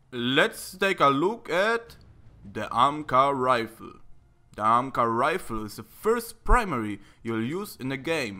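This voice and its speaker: On a very clean recording with a silent background, a man with a non-native accent speaks very slowly in a bright, sharp tone, his pitch swinging very widely and his loudness shifting a lot. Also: medium pitch for a man. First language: not English. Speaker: gaming video creator. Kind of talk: scripted tutorial-style video review.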